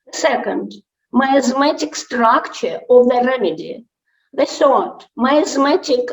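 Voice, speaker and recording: A woman's high-pitched voice at a very slow pace, with lively intonation. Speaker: homeopathic doctor and dermatologist. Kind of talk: conference presentation. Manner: halting; quiet. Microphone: mic too far, low volume.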